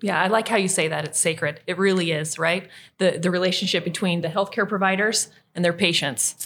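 A woman's fairly low-pitched voice, a plain, everyday voice, at a fairly quick pace with fairly even intonation, on a very clean recording with a silent background. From southeastern Idaho. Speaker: podcast host, health advocate. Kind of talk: interview.

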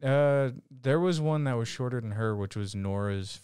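A man talks at a fairly slow pace with ordinary pitch variation in an ordinary speaking voice. The recording is very clean, with a silent background. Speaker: anime podcast co-host. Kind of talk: casual chat.

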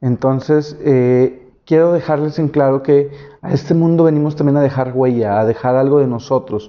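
This man's fairly high voice moves along at a moderate pace. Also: fairly even intonation, very even loudness. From Monterrey, northern Mexico. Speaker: YouTuber. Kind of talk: solo video podcast monologue. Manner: halting, many fillers.

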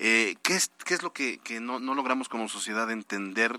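This man's voice sits at a medium pitch with a bright, sharp tone. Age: 30s. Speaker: radio news host. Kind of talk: news radio interview. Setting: studio.

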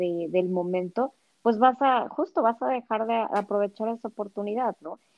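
A woman speaks at a fairly slow pace. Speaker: former nun. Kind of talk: casual chat. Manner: halting.

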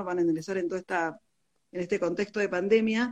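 Talking at a very fast pace, a woman keeps a fairly even intonation. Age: 40s. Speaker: physician and medical teacher. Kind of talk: interview. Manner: halting.

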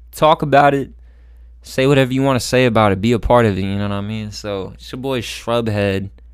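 Ordinary pitch variation and a fairly quick pace in an unremarkable speaking voice. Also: man, medium pitch for a man. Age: 20s. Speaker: rapper. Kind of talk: casual chat.

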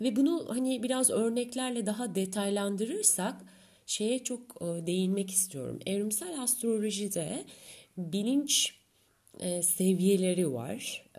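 Somewhat breathy, a woman talks at a very slow pace with medium pitch and lively intonation. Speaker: astrologer podcaster. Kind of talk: solo podcast monologue. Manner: dramatic, theatrical delivery.

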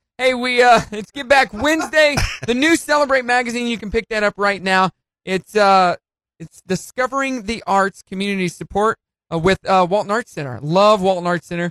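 A man with a high pitch talks in an upbeat, animated tone that is bright and sharp, the sound dry and close with no echo. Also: lively intonation. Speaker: radio host. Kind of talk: morning radio DJ patter, teasing segments and station plugs. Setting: radio studio. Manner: upbeat, punchy, animated banter; fast, jokey, playful.

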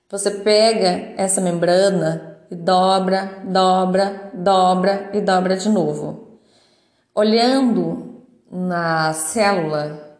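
There is audible room echo. A woman speaks in a medium pitch with ordinary pitch variation. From Minas Gerais, Brazil. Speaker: biomedical scientist, educational podcaster. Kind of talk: educational monologue. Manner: casual, with filler words.

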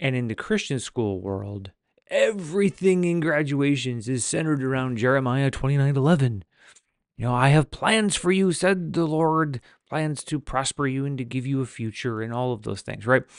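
A man at a moderate pace, with a plain, everyday voice and lively intonation. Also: medium pitch for a man. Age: 40s. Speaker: podcast host. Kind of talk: casual monologue.

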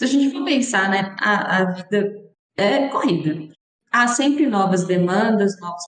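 Using a plain, everyday voice, a woman speaks at a medium pitch and a fairly slow pace with lively intonation. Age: 30s. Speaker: podcast host and family doctor. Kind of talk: podcast interview.

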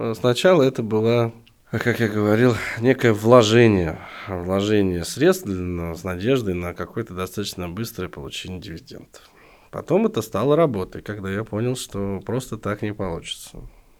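At a moderate pace, a man with an unremarkable speaking voice talks at a fairly low pitch with ordinary pitch variation and big swings in loudness. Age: 40s. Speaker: entrepreneur, co-founder and CEO of a crowdfunding platform. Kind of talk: casual interview.

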